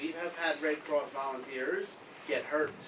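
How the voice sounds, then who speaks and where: A man speaks with an American accent. Audible room echo and noticeable background noise fill the recording. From US Northeast, Philadelphia. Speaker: humanitarian aid worker. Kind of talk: talk to school pupils with Q&A. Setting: school assembly with audience.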